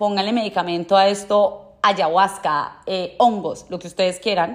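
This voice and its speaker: Speaking at a moderate pace, a woman keeps a medium pitch and fairly even intonation. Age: 20s. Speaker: podcast host. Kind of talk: personal monologue.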